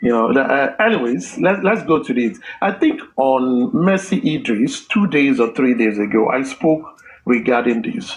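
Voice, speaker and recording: This man's voice is fairly high and swings very widely in pitch, at a moderate pace. His loudness stays very even, though background noise is noticeable. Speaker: discussion participant. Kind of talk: group discussion.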